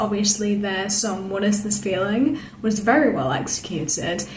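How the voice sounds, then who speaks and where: A woman in a British accent with an enthusiastic tone, plus audible room echo and noticeable background noise. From Britain. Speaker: theatre vlogger. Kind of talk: casual review monologue. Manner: enthusiastic, chatty with fillers.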